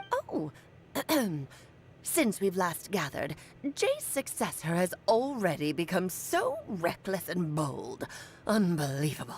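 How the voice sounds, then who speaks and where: Putting on a character voice at a medium pitch, a woman speaks at a fairly slow pace with long, frequent pauses over clear background noise. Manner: imitating an old woman's speech.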